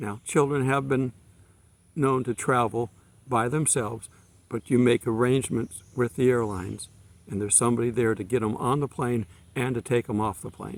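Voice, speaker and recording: A man with a normal speaking voice, medium pitch, fairly even intonation and a moderate pace, in a dry, close sound with no echo. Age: 60s. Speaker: preacher. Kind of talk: sermon. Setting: outdoors. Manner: casual.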